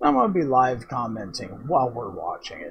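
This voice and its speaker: A man is talking. Light background noise sits behind him. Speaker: gaming video host. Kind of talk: casual gaming commentary intro.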